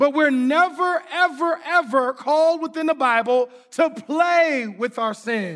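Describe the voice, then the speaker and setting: Pitched extremely high for a man, he talks at a fairly slow pace with ordinary pitch variation and hardly any pauses. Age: 40s. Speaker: pastor. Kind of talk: sermon. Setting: church with congregation.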